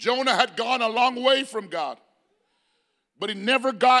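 A man with an extremely high pitch and a bright, sharp tone speaks in a raised, projected, animated voice with ordinary pitch variation. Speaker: preacher. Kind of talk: sermon. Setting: church. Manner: animated, call-and-response preaching; emphatic, building in intensity.

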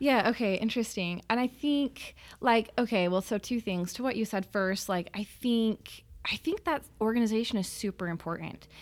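A woman's normal speaking voice, fairly high in pitch with ordinary pitch variation, at a moderate pace on a very clean recording with a silent background. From Utah, Salt Lake City. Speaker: painter. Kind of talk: interview.

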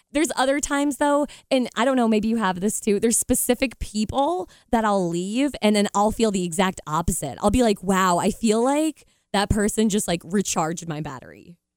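The recording is very clean, with a silent background. A normal speaking voice with lively intonation moves at a moderate pace. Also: woman, fairly high pitch for a woman. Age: 30s. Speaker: radio host and podcaster. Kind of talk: casual chat.

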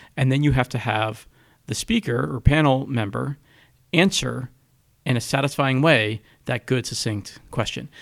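A man with vocal fry and ordinary pitch variation talks with long, frequent pauses. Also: medium pitch for a man, moderate pace, very clean recording, silent background. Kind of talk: casual chat. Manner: halting.

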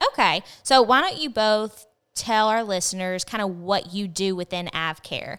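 In a very clean recording with a silent background, a woman with a Southern US accent speaks at a medium pitch with ordinary pitch variation. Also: moderate pace. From Arkansas. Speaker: podcast host. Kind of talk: casual chat. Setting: studio.

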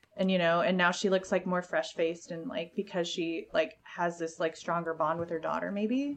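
Against noticeable background noise, a woman with a fairly low pitch speaks at a moderate pace with hardly any pauses and ordinary pitch variation. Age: 30s. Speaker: burlesque performer. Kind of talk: casual chat.

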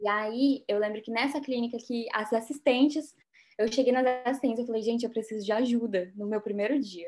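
A woman with a fairly high pitch and fairly even intonation talks at a fairly quick pace in an ordinary speaking voice. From Brazil, Rondônia (North). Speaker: dentist. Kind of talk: interview.

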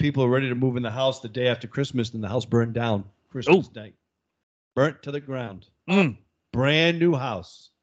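With a Massachusetts accent, a man talks at a fairly quick pace and medium pitch, his loudness swinging widely and his pitch variation ordinary. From Boston area, Massachusetts. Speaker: podcast co-host. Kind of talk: casual banter. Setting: studio.

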